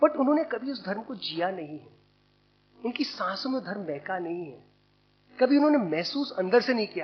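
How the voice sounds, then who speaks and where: The speaker talks at a moderate pace. The pitch swings very widely and the loudness rises and falls sharply. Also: man, high pitch for a man. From India, Bundelkhand. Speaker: publisher, speaker at commemorative event. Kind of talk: seminar talk. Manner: conversational, code-switching Hindi and English.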